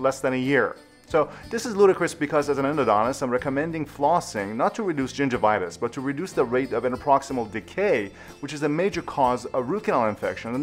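Over faint music in the background, a man talks at a very fast pace. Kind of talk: educational commentary to camera.

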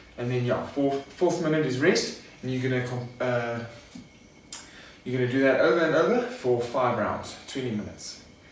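A man speaks over light background noise. The room echo is audible. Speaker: fitness coach. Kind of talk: tutorial. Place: garage.

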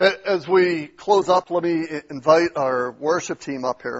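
Against a quiet background, a man talks very slowly in a fairly high voice with ordinary pitch variation. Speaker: pastor. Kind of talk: sermon. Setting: church. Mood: earnest, exhorting. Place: church.

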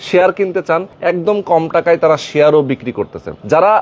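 A fairly high-pitched male voice with ordinary pitch variation over noticeable background noise. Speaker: property video presenter. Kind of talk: promotional walkthrough and interviews. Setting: outdoors at a land project.

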